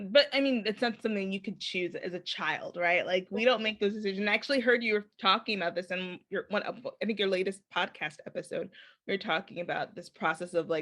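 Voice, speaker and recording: Against a quiet background, a woman talks at a fairly quick pace with hardly any pauses, at a medium pitch with ordinary pitch variation. It is an ordinary speaking voice. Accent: General American. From Chicago, US. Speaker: podcast host. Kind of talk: casual interview chat.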